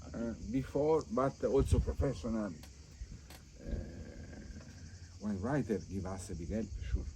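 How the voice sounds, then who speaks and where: A man talks at a fairly slow pace with long, frequent pauses. His fairly low pitch swings very widely, with vocal fry. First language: Italian. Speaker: wine estate owner. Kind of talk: casual interview. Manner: halting.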